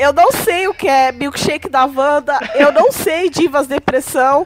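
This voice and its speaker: The woman's voice comes through dry and close, with no echo. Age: 20s. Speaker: podcast host and thoracic surgeon. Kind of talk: casual chat.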